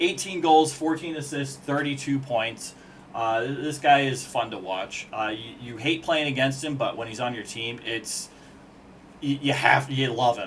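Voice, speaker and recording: Male speech at a medium pitch, with ordinary pitch variation. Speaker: hockey commentator. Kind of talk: casual video analysis. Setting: on camera at home with whiteboard. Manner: fast.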